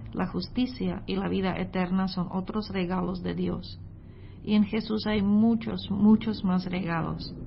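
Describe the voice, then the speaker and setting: In a room with audible echo, a woman with a non-native accent speaks at a fairly slow pace. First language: not Spanish (speaking Spanish). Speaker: missionary preacher. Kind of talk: sermon. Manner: hesitant, with filler sounds.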